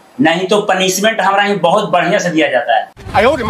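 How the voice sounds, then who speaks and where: A man talks with ordinary pitch variation as audible room echo follows his voice. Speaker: physical academy trainer. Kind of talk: instructions and commentary to trainees and viewers.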